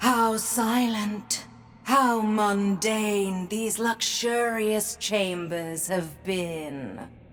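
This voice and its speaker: In a put-on character voice, a woman speaks at a very slow pace and medium pitch. Clear background noise runs behind her. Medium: video game. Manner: elegant, ominous.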